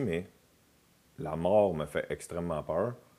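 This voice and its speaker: A man's very deep, low voice with a Quebec accent, on a very clean recording with a silent background. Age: 40s. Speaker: comedian. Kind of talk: casual chat.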